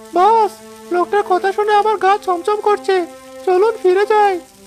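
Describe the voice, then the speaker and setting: A woman performs a cartoonish character voice at a moderate pace and very even loudness. Music plays clearly in the background. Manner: nervous, deferential.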